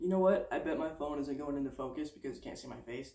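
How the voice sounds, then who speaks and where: Fairly high in pitch, a man speaks with a dark, mellow tone and fairly even intonation. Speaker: transgender vlogger. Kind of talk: casual vlog monologue. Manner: fast.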